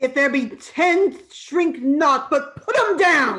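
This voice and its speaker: A put-on character voice, high-pitched and at a very slow pace. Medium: stage play. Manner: curt, commanding.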